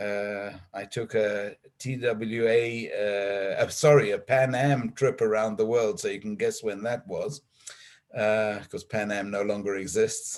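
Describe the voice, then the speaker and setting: Speaking at a fairly slow pace with a South African accent, the voice keeps a fairly even intonation. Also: man, medium pitch for a man. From South Africa, then Israel from just before age 13. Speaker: diplomat. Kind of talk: formal address to congregation. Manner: hesitant, many uh fillers.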